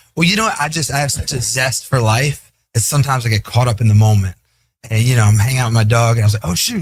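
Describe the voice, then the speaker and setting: Very fast and somewhat breathy, a man talks at a medium pitch with ordinary pitch variation. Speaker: MMA gym owner. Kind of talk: casual chat. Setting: studio.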